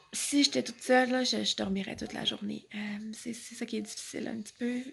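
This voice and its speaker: A woman with a Quebec accent at a moderate pace. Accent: Québécois French. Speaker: vlogger with chronic illness. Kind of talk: casual vlog talk. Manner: halting, with many fillers and repeats.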